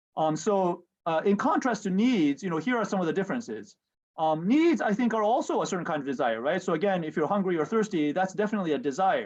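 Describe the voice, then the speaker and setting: Against a quiet background, a man with a Japanese accent speaks very fast in a high pitch with lively intonation. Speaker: professor. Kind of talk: lecture. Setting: video call. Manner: halting, many fillers.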